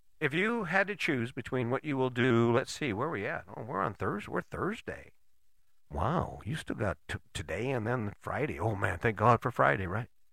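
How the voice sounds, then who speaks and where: A man with a medium-pitched voice and some vocal fry talks at a moderate pace, his pitch swinging very widely, in a very clean recording with a silent background. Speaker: podcast host. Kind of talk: motivational monologue. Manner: direct, emphatic, drill-sergeant-like; conversational, repeats words.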